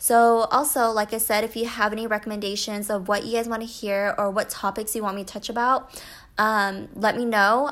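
A woman with an American accent and a normal speaking voice talks in a fairly high pitch with fairly even intonation, in a very clean recording with a silent background. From US. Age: 20s. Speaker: podcaster and YouTuber. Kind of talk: casual solo podcast monologue. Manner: casual, many fillers.

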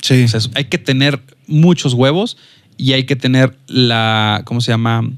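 A man with a medium-pitched voice talks fairly slowly, his pitch varying in an ordinary way. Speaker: filmmaker and photographer. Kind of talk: casual interview chat. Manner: hesitant, many fillers.

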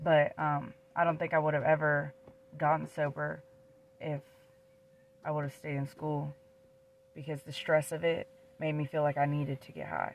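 A woman with an American accent talks at a moderate pace in a very deep, low pitch and a monotone, flat intonation. Her loudness swings widely, and she leaves long, frequent pauses. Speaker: podcast co-host. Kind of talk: casual chat.

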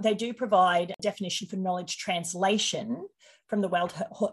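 A woman's somewhat breathy voice, medium in pitch, with ordinary pitch variation at a moderate pace. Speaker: podcast host. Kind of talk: casual chat.

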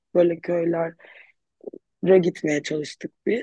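This is a woman's voice. Her pitch is fairly low. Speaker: clinical psychologist, earthquake relief volunteer. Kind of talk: interview, personal account.

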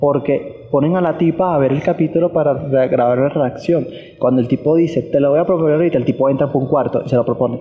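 A man with a Caracas Venezuelan accent, fairly high-pitched for a man, very fast, with fairly even intonation and very even loudness. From Venezuela, Caracas. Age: 20s. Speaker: podcast host. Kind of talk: casual chat.

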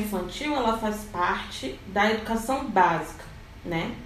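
A woman speaks fairly slowly at a fairly high pitch, with ordinary pitch variation. The room echoes audibly and background noise is noticeable. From Rio de Janeiro, Brazil. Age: 20s. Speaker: educator and researcher. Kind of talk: podcast panel discussion.

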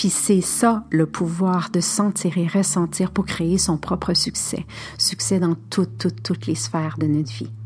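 A woman speaks slowly at a fairly low pitch, with very wide pitch swings. Noticeable background noise can be heard. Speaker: spiritual podcast host. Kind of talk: spiritual monologue.

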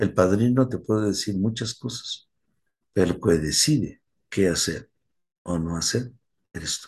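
Speaking at a fairly slow pace, a man keeps to a fairly low pitch. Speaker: recovery sponsor. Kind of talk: talk.

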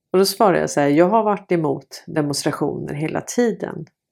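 On a very clean recording with a silent background, a woman speaks at a moderate pace in a fairly low, dark, mellow voice with vocal fry and ordinary pitch variation. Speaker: video blogger and commentator. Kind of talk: angry rant about censorship and authorities. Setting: home recording, solo video. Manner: indignant, irritated, fiery.

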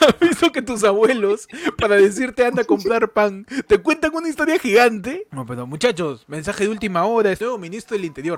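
A man's high-pitched voice at a fairly quick pace, with very wide pitch swings and a dry, close sound without echo. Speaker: podcast co-host. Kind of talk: casual comedic chat.

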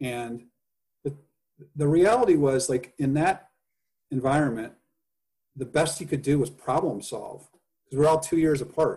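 A man's somewhat breathy, fairly high voice with a dark, mellow tone and an American accent, at a moderate pace, with ordinary pitch variation and long, frequent pauses. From US Midwest (Indiana). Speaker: podcast guest. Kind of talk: casual interview chat.

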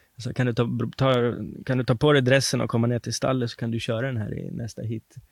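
A man's medium-pitched voice, very fast and monotone with flat intonation. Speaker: harness racing trainer. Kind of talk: interview.

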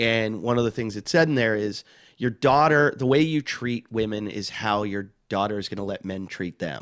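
Very clean, with a silent background, this recording has a man speaking at a moderate pace with a fairly low pitch and an American accent. It is a normal speaking voice with ordinary pitch variation. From Pittsburgh, Pennsylvania. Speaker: comedian. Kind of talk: casual chat.

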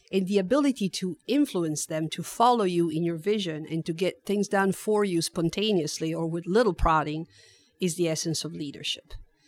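A woman with an Italian accent, fairly low in pitch with ordinary pitch variation, at a moderate pace, in a very clean recording with a silent background and a dry, close sound with no echo. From Italy, Turin. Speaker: HR director. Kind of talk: interview.

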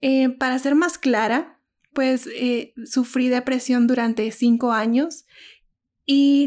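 A high-pitched woman with a dark, mellow tone on a very clean recording with a silent background. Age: 30s. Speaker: podcast host. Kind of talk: monologue introduction.

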